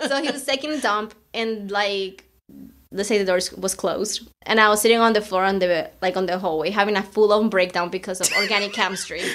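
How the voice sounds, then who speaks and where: Spoken with a non-native accent at a fairly quick pace, the voice shows ordinary pitch variation. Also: woman, medium pitch for a woman. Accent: noticeable foreign. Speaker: podcast co-host, nursing student. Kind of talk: casual chat. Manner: animated.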